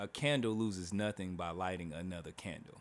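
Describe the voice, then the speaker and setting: In an American accent, a man with a fairly low voice speaks at a moderate pace with ordinary pitch variation, in a very clean recording with a silent background. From Oklahoma, US. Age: 30s. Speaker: podcast host. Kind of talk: casual chat. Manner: animated.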